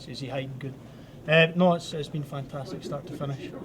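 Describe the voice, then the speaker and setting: Over noticeable background noise, a man with a Scottish accent speaks with fairly even intonation. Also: fairly high pitch for a man, fairly quick pace. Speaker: hockey alumni player being interviewed. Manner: casual, joking.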